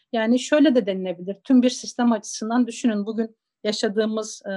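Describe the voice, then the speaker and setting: A woman's fairly high voice with an Eastern Anatolian accent, ordinary pitch variation and a fairly quick pace. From Zaza-speaking village in eastern Turkey. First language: Zazaki (speaking Turkish). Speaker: interviewee on minority languages. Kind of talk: storytelling; interview.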